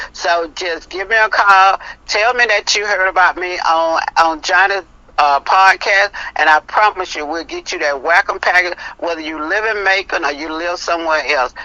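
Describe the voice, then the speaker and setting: An ordinary speaking voice. The woman talks at a moderate pace and medium pitch, with ordinary pitch variation. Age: 60s. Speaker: health product seller. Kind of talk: interview. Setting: podcast.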